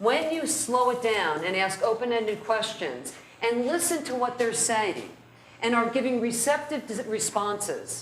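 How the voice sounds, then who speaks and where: Audible room echo and noticeable background noise accompany speech delivered at a fairly slow pace. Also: woman. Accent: American. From New Jersey (North Jersey). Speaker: criminal defense lawyer, trainer. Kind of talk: lecture.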